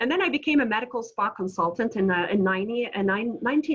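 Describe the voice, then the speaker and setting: Noticeable background noise runs under the recording. A woman talks at a fairly quick pace. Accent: Quebec. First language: French. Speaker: entrepreneur. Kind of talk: webinar presentation. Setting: video call. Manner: animated.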